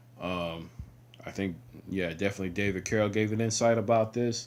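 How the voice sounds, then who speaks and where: Mumbling from a man, fairly low in pitch, with fairly even intonation. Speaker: video blogger. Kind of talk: casual monologue. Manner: halting.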